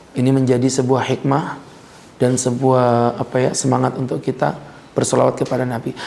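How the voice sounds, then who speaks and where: A man's voice at medium pitch and a fairly quick pace, fairly even in intonation, over noticeable background noise. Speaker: Islamic preacher. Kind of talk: religious lecture. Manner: casual, conversational.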